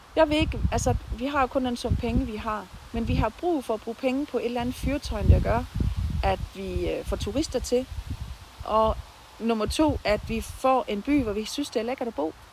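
The woman's fairly high voice moves at a moderate pace, its pitch varying in an ordinary way, while noticeable background noise carries on behind her. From Southern Jutland, Denmark (near Haderslev). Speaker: nurse and local political candidate. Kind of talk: interview. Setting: outdoors in a garden.

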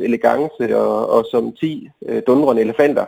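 Here a man is speaking. His pace is fairly slow. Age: 30s. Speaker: guitarist. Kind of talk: phone interview. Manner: halting.

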